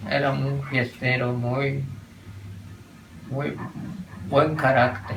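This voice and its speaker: A man's very slow, monotone delivery at medium pitch, flat in intonation, with long, frequent pauses, audible room echo and noticeable background noise. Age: 90s. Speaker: elderly local resident. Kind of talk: interview testimony.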